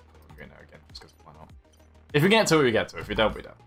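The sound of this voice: A voice with a northern English accent, with music in the background. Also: man.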